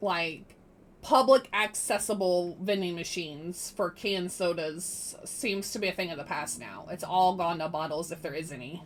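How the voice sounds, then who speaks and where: With an American accent, a woman talks in a normal speaking voice with ordinary pitch variation. Her loudness rises and falls in big swings. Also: fairly low pitch for a woman, moderate pace. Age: 30s. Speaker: streamer playing a roleplay game. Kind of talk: casual chat.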